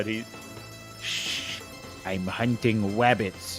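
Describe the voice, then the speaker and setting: Over clear background music, a man uses a put-on character voice with a fairly low pitch. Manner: hushed, whispering.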